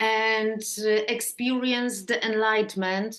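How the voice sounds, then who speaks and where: A woman with a Polish accent speaks at a very slow pace in a fairly high pitch. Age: 50s. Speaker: therapist. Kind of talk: interview. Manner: halting.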